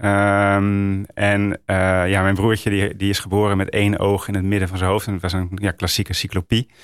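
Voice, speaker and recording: Dry and close with no echo, a man's fairly low voice moves at a moderate pace in a monotone, flat way. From northern Netherlands, Roden (Drenthe). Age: 40s. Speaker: author and Dutch teacher. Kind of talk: interview about grief. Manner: halting, many fillers.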